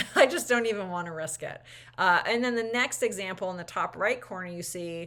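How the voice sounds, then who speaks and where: A woman speaks with lively intonation. Her tone is bright and sharp. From US New England (Millinocket, Maine). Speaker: choir teacher / choral educator. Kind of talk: educational talk to camera. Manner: casual, with many fillers and restarts.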